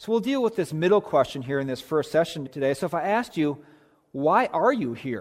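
In an American accent, a man talks at a fairly quick pace. His pitch is high and swings very widely. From Minnesota, US Midwest. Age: 40s. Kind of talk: chapel talk to students. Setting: school chapel service with audience.

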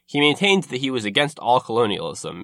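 At medium pitch, a man speaks at a very fast pace. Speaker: podcast host and narrator. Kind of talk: history documentary narration, scripted-style. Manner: measured, formal, explanatory storytelling; fluent but occasionally hesitant with filler words.

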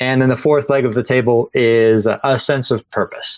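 A man's unremarkable speaking voice at a moderate pace, on a very clean recording with a silent background. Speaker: author. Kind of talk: interview.

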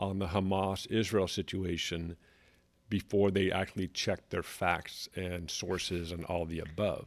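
In a very clean recording with a silent background, a man with an American accent speaks fairly slowly in a fairly low pitch. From California. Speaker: podcast co-host. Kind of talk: casual chat.

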